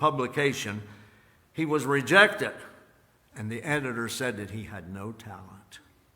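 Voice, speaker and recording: Lively intonation from a man at a moderate pace, with audible room echo. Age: 80s+. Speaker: pastor. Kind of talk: sermon. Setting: church.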